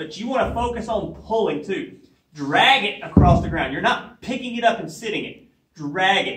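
A man speaks in a raised, projected voice at a moderate pace, with very wide pitch swings. There is light background noise and audible room echo. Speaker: fitness trainer. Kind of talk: tutorial. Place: gym. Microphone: camera far.

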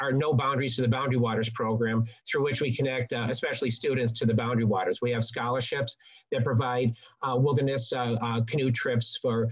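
At a very fast pace, a man talks with monotone, flat intonation and very even loudness. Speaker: webinar host. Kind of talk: webinar introduction. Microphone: video call.

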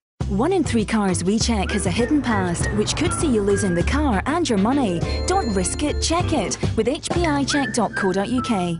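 A woman talks at a moderate pace and very even loudness while music plays in the background. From Scotland. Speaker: voice actor. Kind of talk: TV commercial read.

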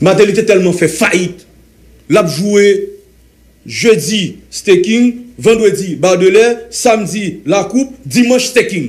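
A man with a Haitian accent speaks in a high pitch at a very slow pace. His long, frequent pauses sit over a quiet background. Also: ordinary pitch variation. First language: Haitian Creole (speaking French). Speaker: former senator. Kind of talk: heated debate. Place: studio. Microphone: studio mic.

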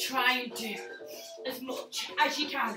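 Over noticeable background noise, a woman speaks in a raised, projected voice. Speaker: fitness instructor. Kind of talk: workout instruction. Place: gym. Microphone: camera far.

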